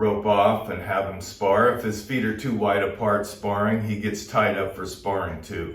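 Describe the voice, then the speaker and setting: A man speaks fairly slowly with a fairly low pitch and fairly even intonation. His voice is somewhat breathy, and the room echo is audible. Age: 60s. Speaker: boxing trainer. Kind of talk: tutorial. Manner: casual, conversational.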